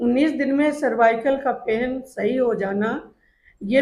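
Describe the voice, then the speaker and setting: Her pitch is high for a woman, and her pitch variation is ordinary. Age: 60s. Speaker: retired school principal, patient. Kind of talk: testimonial.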